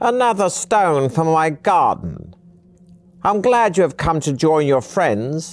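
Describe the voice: A man performs a put-on character voice at a slow pace, pitched fairly high. His pitch swings widely up and down.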